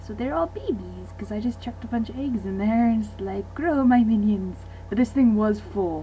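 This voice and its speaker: A woman speaks quietly at a moderate pace, with hardly any pauses. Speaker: gaming video creator. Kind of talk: casual gameplay commentary and Q and A. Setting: home recording late at night.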